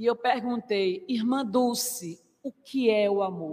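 A woman with a high pitch and lively intonation speaks at a very slow pace. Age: 50s. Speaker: spiritist lecturer. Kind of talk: religious lecture. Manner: formal.

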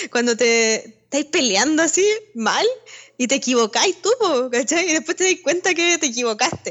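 A woman with a high pitch talks at a moderate pace, her loudness very even while her pitch swings very widely. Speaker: podcast co-host. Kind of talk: casual chat.

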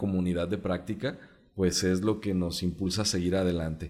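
Fairly even intonation marks this man's very deep, low-pitched voice. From Mexico, Jalisco. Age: 30s. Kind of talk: interview.

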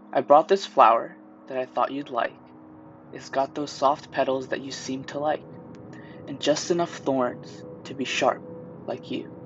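Long, frequent pauses break up a moderate pace. Music plays in the background. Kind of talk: poem reading, gentle. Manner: soft, dreamy, tender.

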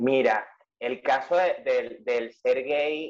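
A man, in a dry, close sound with no echo. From Venezuela. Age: 30s. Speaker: journalist and writer. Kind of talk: interview conversation.

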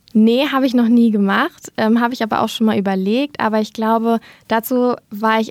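This woman has an ordinary speaking voice, fairly high in pitch with fairly even intonation, recorded with a dry, close sound with no echo. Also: very clean recording, silent background. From Germany, Lower Rhine (Dinslaken). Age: 20s. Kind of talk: interview.

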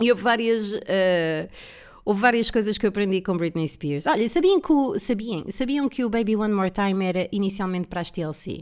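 The recording is very clean, with a silent background. A woman of medium pitch talks at a moderate pace in an animated tone with lively intonation. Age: 30s. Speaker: comedian and podcast host. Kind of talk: solo casual monologue.

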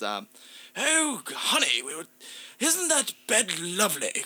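Someone puts on a character voice and speaks at a very slow pace. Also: man, extremely high pitch for a man.

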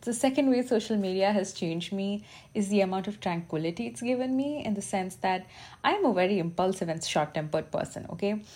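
A woman with an Indian accent speaks at a fairly quick pace and a medium pitch. Her tone is dark and mellow, and somewhat breathy. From India, Bangalore. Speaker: podcast host and social media content creator. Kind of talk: casual solo monologue. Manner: casual, unpolished delivery.

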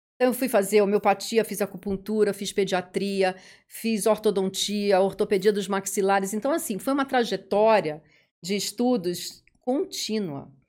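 On a very clean recording with a silent background, an ordinary speaking voice moves at a moderate pace with ordinary pitch variation. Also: woman, medium pitch for a woman. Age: 50s. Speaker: dentist. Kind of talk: interview.

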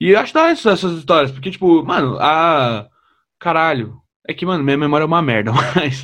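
An ordinary speaking voice talks at a fairly quick pace with ordinary pitch variation. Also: man, fairly high pitch for a man. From São Paulo, Brazil. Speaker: podcast host and comedian. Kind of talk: casual interview.

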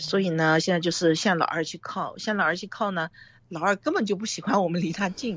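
A woman with a normal speaking voice, medium pitch, ordinary pitch variation and a fairly quick pace. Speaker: film director and producer. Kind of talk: interview.

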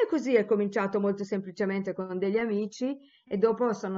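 This is a woman with a medium pitch. She speaks at a fairly quick pace. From Tuscany, Italy. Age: 60s. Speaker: theologian and professor. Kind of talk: interview answers.

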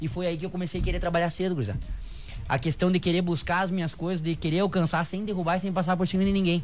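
Speaking at a very fast pace, a man with a high pitch keeps his intonation fairly even, and audible room echo surrounds him. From southern Brazil (Rio Grande do Sul, Santa Rosa). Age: 20s. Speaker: bodybuilder and personal trainer. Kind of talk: casual radio interview. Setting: radio studio.

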